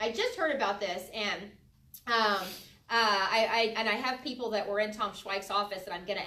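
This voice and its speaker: A woman's fairly high voice with ordinary pitch variation, audible room echo and noticeable background noise. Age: 30s. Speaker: political candidate. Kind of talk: campaign talk. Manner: halting.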